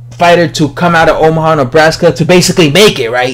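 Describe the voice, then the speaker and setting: Talking at a very fast pace, a man with an American accent uses a fairly high pitch over noticeable background noise. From New York. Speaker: boxing commentator, video blogger. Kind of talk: casual opinion monologue. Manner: casual, many fillers.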